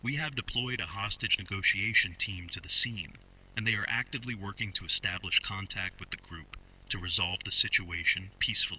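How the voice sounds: A man puts on a character voice, low in pitch with a bright, sharp tone. He moves at a fairly quick pace with ordinary pitch variation.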